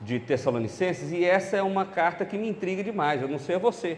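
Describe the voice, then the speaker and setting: High in pitch for a man, this male speaker talks at a fairly quick pace with lively intonation. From central Brazil (Goiás, Brasília, Belo Horizonte). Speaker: pastor. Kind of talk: sermon. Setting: church conference.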